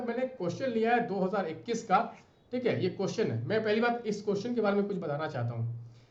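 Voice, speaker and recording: In a room with audible echo and noticeable background noise, a man talks at a high pitch with a lively, animated delivery. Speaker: UPSC exam mentor. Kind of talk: tutorial.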